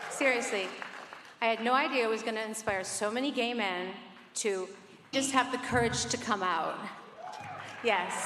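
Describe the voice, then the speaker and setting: A woman with a fairly high voice and ordinary pitch variation speaks with long, frequent pauses over noticeable background noise. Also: moderate pace. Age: 60s. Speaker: pop singer. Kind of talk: award acceptance speech.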